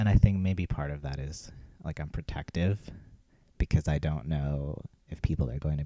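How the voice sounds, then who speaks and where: Soft-spoken and very deep, this man's low voice has a dark, mellow tone and fairly even intonation, recorded with a dry, close sound and no echo. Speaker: cleaning vlogger. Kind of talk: casual vlog monologue while cleaning.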